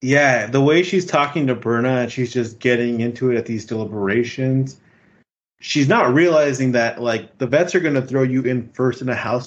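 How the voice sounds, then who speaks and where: A man's plain, everyday voice at a medium pitch, moderate pace and ordinary pitch variation. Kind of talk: casual chat. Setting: video call.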